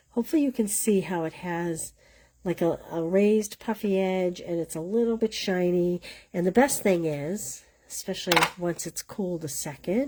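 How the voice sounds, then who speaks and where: With a Boston accent, a woman speaks in a dark, mellow tone using lively intonation. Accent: Boston accent, still noticeable. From Boston area, US. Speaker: paper crafting instructor. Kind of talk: live craft tutorial. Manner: casual, chatty.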